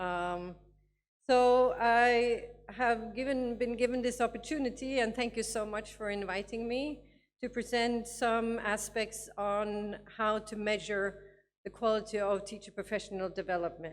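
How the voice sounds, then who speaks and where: A woman speaks at a fairly high pitch with a non-native accent. Her pace is fairly slow and her intonation fairly even. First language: not English. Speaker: education advisor. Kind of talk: conference talk. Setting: conference with audience. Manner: halting, many fillers.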